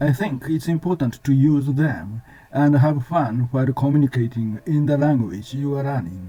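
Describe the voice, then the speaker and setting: Over music in the background, a man with a Japanese accent speaks at a moderate pace. His voice is fairly high, with ordinary pitch variation. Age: 70s. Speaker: language learner sharing study tips. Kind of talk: scripted narration. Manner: formal.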